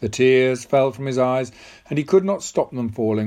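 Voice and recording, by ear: A natural voice reading aloud, its pitch varying in ordinary ways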